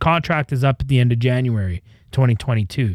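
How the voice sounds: Over a very clean recording with a silent background, a man with a Canadian accent uses an ordinary speaking voice, lively intonation and a moderate pace.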